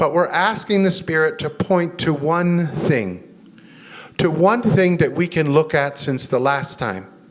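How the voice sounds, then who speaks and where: Amid noticeable background noise, a man with an American accent speaks fairly slowly, his fairly high voice carrying lively intonation. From United States. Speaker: chaplain and guest preacher. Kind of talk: sermon.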